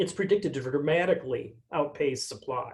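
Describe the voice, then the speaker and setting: Here a man talks at a moderate pace. His voice is fairly high. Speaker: technology company speaker. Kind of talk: webinar presentation. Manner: soft-spoken.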